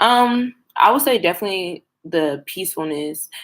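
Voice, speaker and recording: A woman with an American accent speaks at a fairly low pitch, her pitch varying in an ordinary way. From United States. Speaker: student vlogger abroad. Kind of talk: casual vlog talk to camera. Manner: fast.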